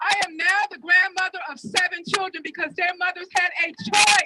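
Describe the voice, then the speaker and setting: A woman speaks in a raised, projected voice at an extremely high pitch. The sound is dry and close, with no echo. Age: 60s. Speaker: protest speaker. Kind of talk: rally speech.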